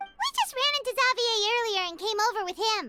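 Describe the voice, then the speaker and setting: At a fairly quick pace, a squeaky, cartoonish character voice speaks in an extremely high pitch over music in the background. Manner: eager, chirpy.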